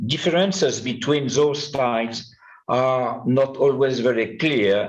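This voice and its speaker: A man with a French accent speaks at a very slow pace, his pitch varying in an ordinary way, with audible room echo. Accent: French accent, self-described poor English. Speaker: numismatist, conference speaker. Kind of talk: conference talk. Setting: conference with audience. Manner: halting, many hesitations.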